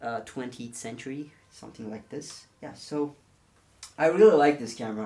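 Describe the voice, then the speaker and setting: Big swings in loudness mark a man's dark, mellow voice with a non-native accent, at medium pitch and a moderate pace with ordinary pitch variation. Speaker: film photography YouTuber. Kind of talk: tutorial. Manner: halting, many fillers.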